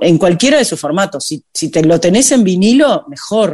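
With a Uruguayan accent, a woman speaks at a moderate pace and a medium pitch. Her intonation is lively against a quiet background. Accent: Uruguayan Spanish (rioplatense). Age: 50s. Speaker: singer. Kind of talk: interview.

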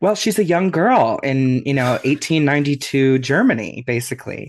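In a quiet background, a man speaks in an ordinary speaking voice at medium pitch with ordinary pitch variation. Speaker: podcast co-host, guest. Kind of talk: casual interview chat.

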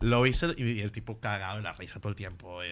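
The recording is very clean, the background silent. The speaker is a man. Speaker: comedian. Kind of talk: casual chat.

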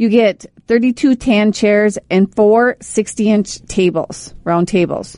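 This is a woman's normal speaking voice at a medium pitch, with ordinary pitch variation. The sound is dry and close, with no echo. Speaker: radio host. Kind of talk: casual chat. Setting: studio. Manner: loud.

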